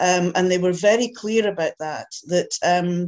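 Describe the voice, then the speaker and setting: A woman with a Scottish accent at medium pitch, fairly slow pace and monotone, flat intonation. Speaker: audience member asking questions. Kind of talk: Q&A discussion.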